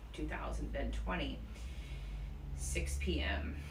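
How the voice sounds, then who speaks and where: Mumbling amid noticeable background noise and audible room echo, a woman speaks. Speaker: yoga teacher. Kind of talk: guided yoga class. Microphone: speaking without mask, worried voice won't carry.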